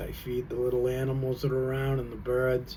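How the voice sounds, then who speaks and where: Noticeable background noise sits behind a man at medium pitch. He talks at a fairly quick pace in a relaxed tone. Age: 60s. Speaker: vlogger. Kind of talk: casual monologue. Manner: relaxed, halting with fillers.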